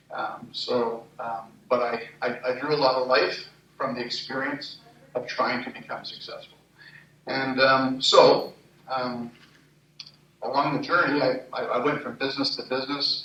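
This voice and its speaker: In a Montreal accent, a man talks in a flat monotone at medium pitch with long, frequent pauses, audible room echo and noticeable background noise. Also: fairly slow pace. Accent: Canadian English, Montreal. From Canada, Montreal. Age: 60s. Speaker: entrepreneur and conference speaker. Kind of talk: personal testimony talk at a conference. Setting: conference stage with audience. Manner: hesitant, many fillers.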